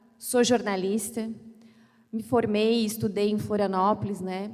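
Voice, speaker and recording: Audible room echo surrounds a woman speaking at a medium pitch in a flat monotone. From Criciúma, Santa Catarina, Brazil. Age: 30s. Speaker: mayoral candidate, lawyer. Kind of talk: campaign speech at church debate. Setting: church event with live audience.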